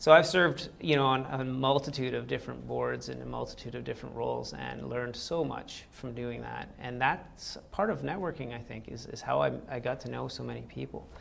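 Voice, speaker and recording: A man talks at a fairly quick pace with hardly any pauses. His loudness swings widely, and room echo is audible. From Quebec. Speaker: entrepreneur. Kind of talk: interview. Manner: casual, with filler words.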